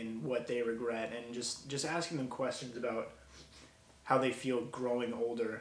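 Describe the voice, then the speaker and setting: In an American accent, a man talks at a moderate pace and medium pitch with monotone, flat intonation. Audible room echo and noticeable background noise fill the recording. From Minnesota (Bemidji). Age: 20s. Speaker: college student, video maker. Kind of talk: vlog monologue and street interviews. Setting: outdoors in a city. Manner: casual, unscripted.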